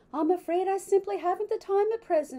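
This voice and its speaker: A woman uses a put-on character voice, squeaky and extremely high in pitch. She talks at a fairly quick pace. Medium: read story.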